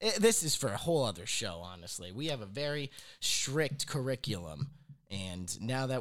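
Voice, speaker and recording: A man's ordinary speaking voice at a moderate pace, with lively intonation. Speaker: podcast host. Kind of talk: comedic banter, sketch-style podcast.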